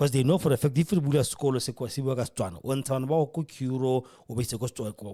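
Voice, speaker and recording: Speaking very fast, a man has a dark, mellow tone that is somewhat breathy. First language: not English. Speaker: podcast host. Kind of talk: political commentary. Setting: radio studio.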